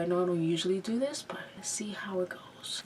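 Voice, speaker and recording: With noticeable background noise around her, a woman talks at a medium pitch. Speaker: beauty vlogger. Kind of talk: makeup tutorial with casual chat. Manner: casual, filler-heavy.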